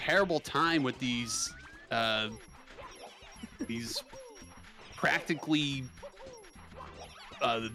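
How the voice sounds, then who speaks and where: Over music in the background, a man at medium pitch talks at a very slow pace with ordinary pitch variation and long, frequent pauses. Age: 30s. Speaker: speedrun commentator. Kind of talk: live commentary. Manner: animated.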